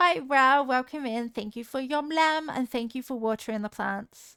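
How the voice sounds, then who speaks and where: The recording is very clean, with a silent background and a dry, close sound with no echo. A woman speaks in a bright, sharp tone with ordinary pitch variation. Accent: slight Devon. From southwest England, Devon. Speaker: video game streamer. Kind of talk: casual live-stream chat.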